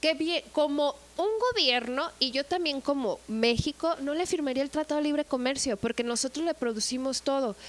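Her pitch is high, with ordinary variation. The woman keeps to a moderate pace. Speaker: tourism manager. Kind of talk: casual chat.

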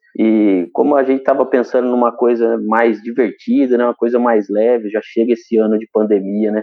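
A man's unremarkable speaking voice at medium pitch, fairly quick and with hardly any pauses, in fairly even intonation. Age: 30s. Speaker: public servant and motivational speaker. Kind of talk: casual chat. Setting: live stream.

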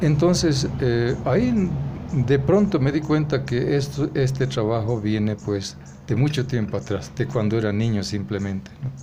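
A man at medium pitch, fairly slow, with very wide pitch swings, noticeable background noise and audible room echo. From rural Bolivia, Vallegrande area. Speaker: writer and anthologist. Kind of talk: interview. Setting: café. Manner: halting, many hesitations and repetitions.

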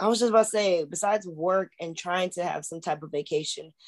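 A woman's normal speaking voice at medium pitch, with lively intonation and a moderate pace. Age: 30s. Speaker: podcast co-host and college sports coach. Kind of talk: casual chat.

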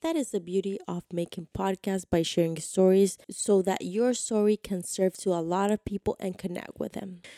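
With a dark, mellow tone, a woman speaks with hardly any pauses in a very clean recording with a silent background. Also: medium pitch for a woman, ordinary pitch variation, moderate pace, dry, close sound with no echo. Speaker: podcast host. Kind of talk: podcast monologue intro.

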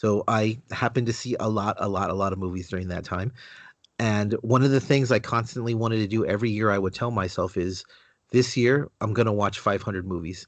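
An ordinary speaking voice from a man, fairly low-pitched and fairly quick, with fairly even intonation over a quiet background. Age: 30s. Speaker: comic book website writer. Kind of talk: casual interview chat.

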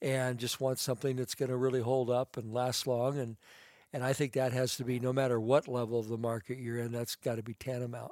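A man with an American accent, a normal speaking voice, a medium pitch and a fairly quick pace. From Idaho, US. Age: 60s. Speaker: fashion designer. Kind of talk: podcast interview.

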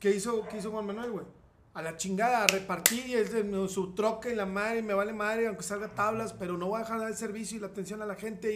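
Over noticeable background noise and audible room echo, a man with a high pitch talks at a very fast pace. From Mexico, Saltillo (Coahuila). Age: 40s. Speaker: bariatric surgeon. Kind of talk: casual chat. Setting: indoors during rain and hail.

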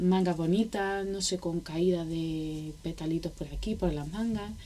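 The woman's delivery is very slow. She has a dark, mellow tone. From Granada, Andalusia, Spain. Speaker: wedding blogger and entrepreneur. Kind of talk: casual interview chat.

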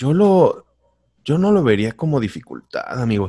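Here is a man with a dark, mellow tone. The recording is very clean, with a silent background. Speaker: voice-over artist. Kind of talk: casual chat.

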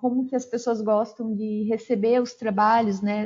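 A woman at a fairly slow pace. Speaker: forestry engineer and consultant. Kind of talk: interview.

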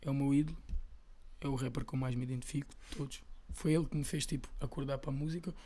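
Somewhat breathy and dark, mellow in tone, a man's fairly high voice races at a very fast pace with fairly even intonation and long, frequent pauses. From Portugal, Lisbon (Chelas). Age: 20s. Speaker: rapper. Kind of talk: casual chat.

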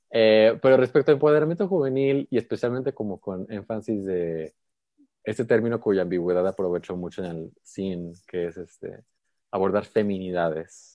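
Here a man speaks at a moderate pace with lively intonation and a fairly low pitch. His loudness swings widely. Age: 20s. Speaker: interactive designer and performer. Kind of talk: interview conversation. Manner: projecting, animated.

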